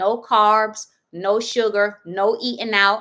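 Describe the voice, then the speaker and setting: Very clean recording, with a silent background. A woman speaks at a fairly high pitch in a bright, sharp tone. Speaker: fasting accountability group host. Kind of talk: live stream group call. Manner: casual, animated.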